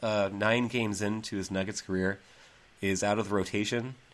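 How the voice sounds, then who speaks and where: A man talks at a moderate pace in a normal speaking voice. His pitch is fairly low. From Central Massachusetts. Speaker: basketball podcast host. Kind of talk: casual chat.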